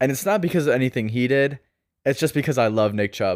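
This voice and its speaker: The speech has lively intonation and comes on a very clean recording with a silent background. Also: man. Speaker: fantasy football podcast host. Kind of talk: casual podcast monologue. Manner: casual, conversational.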